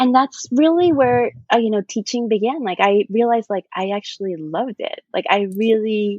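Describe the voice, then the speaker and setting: At a moderate pace, a woman speaks in a fairly high pitch with lively intonation, the sound dry and close with no echo. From immigrant to the US at eleven, raised in Miami. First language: not English. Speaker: artist and art educator. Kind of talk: interview. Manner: casual, many fillers and restarts.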